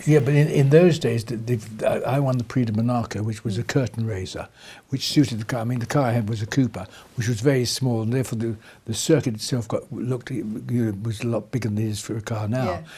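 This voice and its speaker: Somewhat breathy, a man speaks very fast at a medium pitch with ordinary pitch variation. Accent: RP. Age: 80s+. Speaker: retired racing driver. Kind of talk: interview answer. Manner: casual, chatty.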